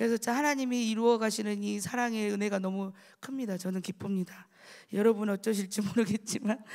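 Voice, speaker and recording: With fairly even intonation and a fairly high pitch, a woman talks at a fairly quick pace. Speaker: church deaconess giving testimony. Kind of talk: testimony.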